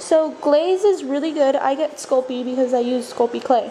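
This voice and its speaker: Against noticeable background noise, a woman with a high pitch speaks with fairly even intonation. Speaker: craft video maker. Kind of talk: tutorial. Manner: casual, filler-heavy.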